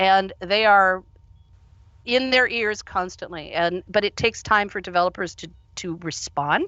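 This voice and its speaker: Speaking at a fairly slow pace, a woman uses a medium pitch with ordinary pitch variation and big swings in loudness. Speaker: conference keynote speaker, VR education co-founder. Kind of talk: keynote Q&A. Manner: animated.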